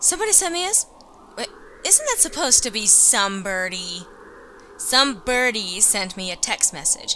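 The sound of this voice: The pace is moderate. The woman's tone comes across bright and sharp. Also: medium pitch for a woman, lively intonation.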